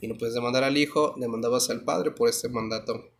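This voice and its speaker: The pace of this man's speech is moderate. He talks at a medium pitch. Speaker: law teacher. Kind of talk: lecture.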